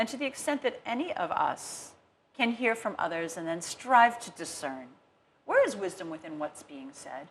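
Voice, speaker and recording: A woman with a slight American accent and vocal fry talks at a moderate pace in a fairly high voice, with very wide pitch swings and big swings in loudness. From United States. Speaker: rabbi. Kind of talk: studio interview discussion. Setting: TV studio.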